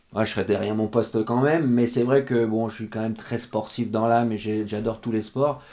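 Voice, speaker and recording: A man's dark, mellow voice, monotone and flat, with hardly any pauses against a quiet background. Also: medium pitch for a man, fairly quick pace. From France. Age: 50s. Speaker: show jumping rider and coach; coach. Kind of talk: interview. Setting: stable. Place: home room. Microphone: studio mic.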